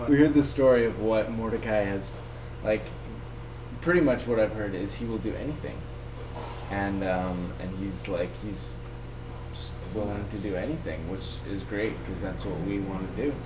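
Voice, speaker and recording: At a moderate pace, a man talks with long, frequent pauses over noticeable background noise. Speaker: traveling vlogger. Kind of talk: casual vlog chat. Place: home room. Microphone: webcam.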